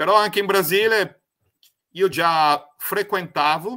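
Over a quiet background, a man with a Brazilian accent speaks in a bright, sharp tone with lively intonation. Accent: Brazilian Portuguese accent in Italian. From Brazil, Paraná, Italian-Mantuan family. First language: Portuguese (speaking Italian). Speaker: spiritual project founder, former lawyer; former lawyer. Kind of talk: interview testimony. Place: home room.

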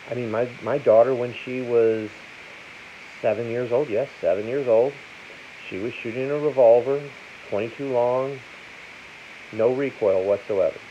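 Over light background noise, a man of medium pitch speaks at a fairly slow pace with fairly even intonation and long, frequent pauses. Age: 50s. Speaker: gun seller and video host; gun seller, video host. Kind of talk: casual talk to camera. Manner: plain, unpolished speech. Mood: opinionated, persuasive. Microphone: phone near.

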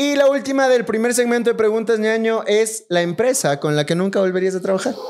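A man talks in a high voice at a fairly quick pace. His loudness stays very even. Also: ordinary pitch variation. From Ecuador. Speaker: podcast host. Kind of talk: casual chat. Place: home room. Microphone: studio mic.

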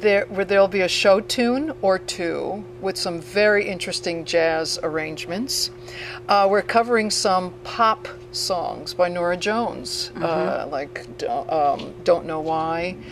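Music in the background behind a woman speaking at a fairly slow pace. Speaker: interviewee. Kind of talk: interview answer. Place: bar. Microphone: handheld.

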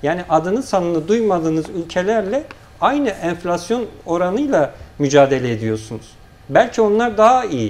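Swinging very widely in pitch, a man with a high voice speaks at a moderate pace. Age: 30s. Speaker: local party chairman; guest. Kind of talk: political TV interview. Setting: TV studio. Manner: formal. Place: studio. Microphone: lapel.

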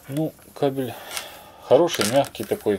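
Slow and unhurried, a man speaks. His tone is slightly mellow.

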